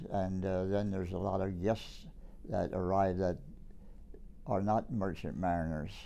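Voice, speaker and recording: A man's very deep, low voice with a dark, mellow tone, fairly even intonation, a fairly slow pace, long, frequent pauses and audible room echo. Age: 90s. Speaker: war veteran. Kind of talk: oral history interview.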